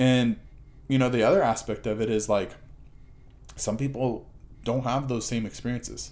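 A man at a moderate pace with fairly even intonation and long, frequent pauses. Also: medium pitch for a man. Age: 30s. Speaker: podcast guest, recovered addict. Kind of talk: casual chat. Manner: halting, many fillers and repeats.

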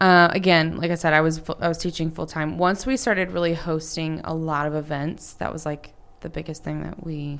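With an American accent and an ordinary speaking voice, a woman talks at a fairly quick pace in a fairly low pitch with ordinary pitch variation. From Texas, North Dallas area. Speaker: entrepreneur and business coach. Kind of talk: casual interview.

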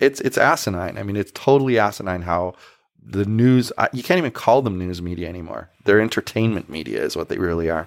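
Captured in a very clean recording with a silent background, a man with a fairly low pitch speaks fairly quickly in an ordinary speaking voice with lively intonation. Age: 50s. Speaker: podcast host, libertarian activist. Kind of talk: podcast interview.

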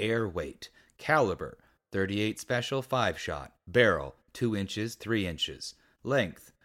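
Against a quiet background, a speaker reads aloud in a natural voice.

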